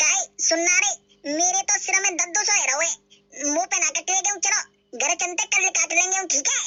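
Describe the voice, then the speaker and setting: A woman puts on a cartoonish character voice at an extremely high pitch, talking at a fairly quick pace with very even loudness while faint music plays in the background. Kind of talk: cartoon comedy voice. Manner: whiny, rustic.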